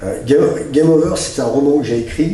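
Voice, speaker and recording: Noticeable background noise and audible room echo around speech of ordinary pitch variation. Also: man. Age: 60s. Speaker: author and speaker. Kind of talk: interview. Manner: hesitant, many fillers.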